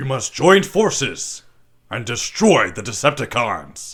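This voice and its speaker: Putting on a character voice, a man of medium pitch swings his pitch very widely on a very clean recording with a silent background. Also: fairly slow pace. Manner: heroic, commanding.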